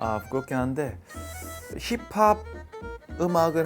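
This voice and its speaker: A man speaks at a very slow pace with very wide pitch swings. Music plays in the background. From Busan, South Korea. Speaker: singer and talk show host. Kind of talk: show opening to camera.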